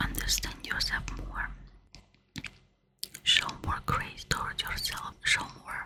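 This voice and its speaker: In a whisper, the speaker goes at a very slow pace with a calm tone and long, frequent pauses. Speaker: ASMR spiritual relaxation host. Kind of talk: ASMR guided relaxation talk. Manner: soft whispers; slow, calm, repetitive.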